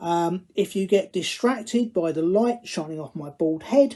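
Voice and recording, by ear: In a Cockney accent, the speaker talks at a fairly slow pace with a dark, mellow tone and ordinary pitch variation. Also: man, high pitch for a man. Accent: Cockney, London English.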